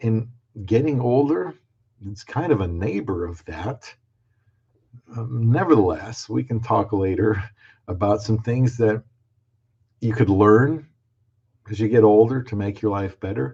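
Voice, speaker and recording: Against a quiet background, a man with a fairly low pitch and a dark, mellow, somewhat breathy tone speaks at a fairly slow pace with ordinary pitch variation and long, frequent pauses. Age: 60s. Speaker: video creator on dating and marriage. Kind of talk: live stream talk. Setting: live stream. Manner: halting.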